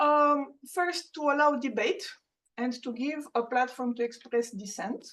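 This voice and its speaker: This is a woman speaking. She has a Romanian accent. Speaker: professor. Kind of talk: lecture.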